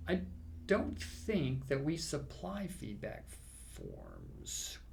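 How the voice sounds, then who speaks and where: Room echo is audible as a man talks very slowly. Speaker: safety training instructor. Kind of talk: casual chat. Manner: hesitant, many fillers.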